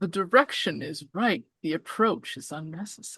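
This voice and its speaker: This is a put-on character voice that sounds female. Its pitch sits in the middle range. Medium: actual play. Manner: cryptic, teasing, creepy.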